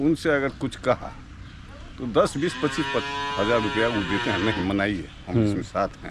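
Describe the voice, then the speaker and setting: Over noticeable background noise, a man with a medium-pitched voice and lively intonation speaks with long, frequent pauses. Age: old. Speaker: villager. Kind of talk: interview answer.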